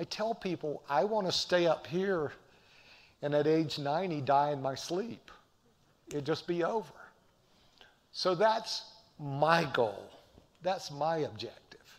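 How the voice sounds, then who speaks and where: A man's fairly high voice in a Southern US accent, animated and with lively intonation, at a fairly slow pace with long, frequent pauses. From US South, Appalachian North Carolina. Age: 60s. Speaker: professor. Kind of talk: lecture. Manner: animated, preacher-like.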